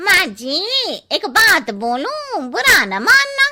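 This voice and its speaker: A cartoonish character voice from a woman, extremely high in pitch with very wide pitch swings, at a very slow pace. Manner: blunt, cheeky.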